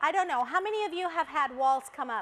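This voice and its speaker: A woman talks at a moderate pace in a Spanish accent. She sounds animated, with lively intonation. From Colombia. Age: 50s. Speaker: motivational speaker. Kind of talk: motivational talk. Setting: stage with audience.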